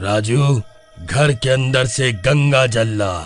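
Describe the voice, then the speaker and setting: Over faint background music, a man does a cartoonish character voice at a medium pitch and a fairly slow pace. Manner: calm, assured.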